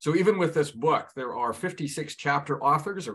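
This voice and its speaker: Against a quiet background, a man with an ordinary speaking voice talks at a fairly quick pace with lively intonation. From Canada. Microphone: video call.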